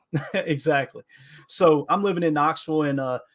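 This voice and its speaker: A man with an Appalachian accent talks at a moderate pace with ordinary pitch variation. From Kentucky, Appalachia. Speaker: football podcaster. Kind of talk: casual podcast interview. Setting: remote call.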